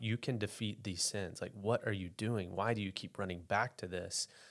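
Here is a man with an American accent and an unremarkable speaking voice, pitched fairly low. He keeps a moderate pace and fairly even intonation on a very clean recording with a silent background. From US South, eastern Arkansas Delta (West Memphis). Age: 30s. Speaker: pastor. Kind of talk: testimony.

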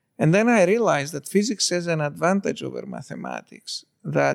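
Dry, close sound with no echo, and a man at a moderate pace. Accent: Greek. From Greece (born in Istanbul). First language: Greek. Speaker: particle physicist. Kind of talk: interview conversation.

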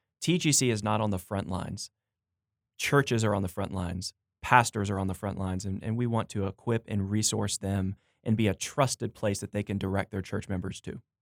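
A man speaks at a fairly quick pace in an unremarkable speaking voice, fairly low in pitch with fairly even intonation. The recording is very clean, with a silent background and a dry, close sound free of echo. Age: 30s. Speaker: editor and pastor. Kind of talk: casual interview. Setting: studio.

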